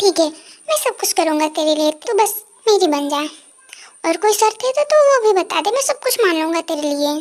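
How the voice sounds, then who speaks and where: Putting on a character voice, a woman speaks fairly quickly at an extremely high pitch with very wide swings in pitch. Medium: fan dub.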